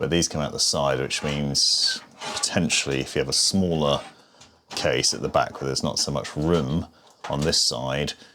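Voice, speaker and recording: At a moderate pace, a man talks while noticeable background noise plays beneath him. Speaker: PC building reviewer. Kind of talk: tech tutorial talk to camera.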